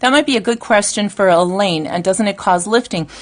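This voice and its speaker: Over a quiet background, a woman speaks at a medium pitch with lively intonation in a plain, everyday voice. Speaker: nail technician and gel educator. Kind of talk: live stream product demonstration. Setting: live broadcast at training course.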